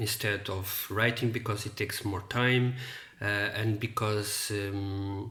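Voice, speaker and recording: This man speaks at a fairly slow pace in a monotone. Room echo can be heard. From Portugal. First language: Portuguese. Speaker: book reviewer. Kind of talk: casual monologue to camera. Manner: halting, many fillers and repetitions.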